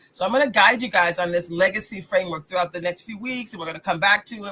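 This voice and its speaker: A woman with an American accent talks at a very fast pace in an animated tone. Music plays in the background. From US South. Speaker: radio host and life coach. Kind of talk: motivational talk. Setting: live radio broadcast.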